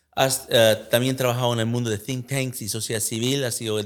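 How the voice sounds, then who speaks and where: The recording is very clean, with a silent background, and a man talks at a fairly quick pace. He has a normal speaking voice at medium pitch, with ordinary pitch variation. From United States. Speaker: podcast host. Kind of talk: interview.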